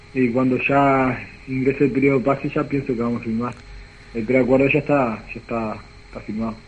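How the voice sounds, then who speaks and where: Speaking at a moderate pace, a man keeps a medium pitch and fairly even intonation. Noticeable background noise runs behind him. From Uruguay, Pirarajá (Lavalleja). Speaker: footballer. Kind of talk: phone interview.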